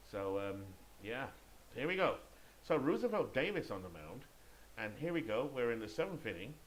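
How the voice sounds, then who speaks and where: A man with a British accent at medium pitch and a fairly quick pace, with very wide pitch swings and audible room echo. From Great Britain. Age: 50s. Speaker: video game sports commentator. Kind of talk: play-by-play commentary; casual chat. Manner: occasionally halting with self-corrections.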